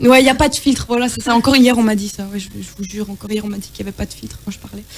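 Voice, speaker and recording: A woman talks at a very fast pace in a fairly high pitch, with ordinary pitch variation, big swings in loudness and noticeable background noise. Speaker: singer. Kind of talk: casual chat.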